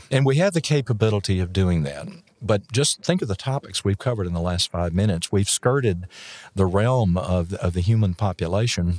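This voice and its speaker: A man talks in a plain, everyday voice, fairly low in pitch, with lively intonation at a fairly quick pace. The recording is very clean with a silent background, and the sound is dry and close with no echo. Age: 60s. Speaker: physician and EMS educator. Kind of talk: casual interview chat. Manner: jovial, joking.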